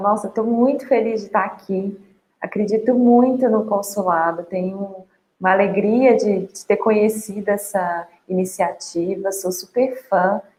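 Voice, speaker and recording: A woman at medium pitch, with fairly even intonation and a fairly slow pace. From Brazil, Minas Gerais (Sete Lagoas). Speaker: journalist and emotional balance trainer. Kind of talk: online talk / webinar.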